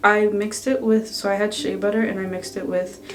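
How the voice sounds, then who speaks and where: A soft-spoken woman talks at a moderate pace. Noticeable background noise and audible room echo surround her voice. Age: 20s. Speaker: beauty vlogger. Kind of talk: tutorial. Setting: in a bathroom at home. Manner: casual.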